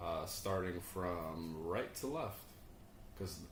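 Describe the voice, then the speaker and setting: A man's voice carries audible room echo. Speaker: podcast host. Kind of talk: casual chat. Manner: loud.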